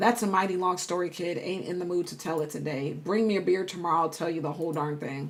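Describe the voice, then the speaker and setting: A woman's raspy put-on character voice, fairly low in pitch, at a very fast pace with hardly any pauses and fairly even intonation. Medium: game stream. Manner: folksy, gruff.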